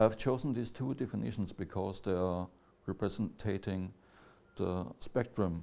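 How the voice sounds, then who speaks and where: A man with a non-native accent speaks at a moderate pace, his very deep, low pitch showing ordinary pitch variation and a dark, mellow tone. The recording is very clean, with a silent background. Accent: non-native English speaker. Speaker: academic lecturer. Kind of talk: lecture. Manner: halting, many fillers and restarts.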